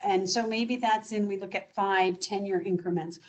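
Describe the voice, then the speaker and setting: A woman with a somewhat breathy voice talks at a moderate pace. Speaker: business development director at home care agency. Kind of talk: presentation. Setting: video call.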